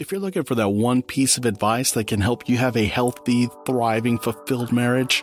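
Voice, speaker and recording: Music plays in the background as a man speaks. He talks at a fairly quick pace with medium pitch. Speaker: podcast host; voice actor. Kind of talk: solo podcast talk.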